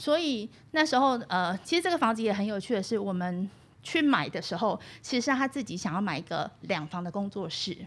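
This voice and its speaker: A woman's medium-pitched voice at a fairly quick pace, with very wide pitch swings. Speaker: university radio instructor and podcast host. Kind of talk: interview. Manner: fluent.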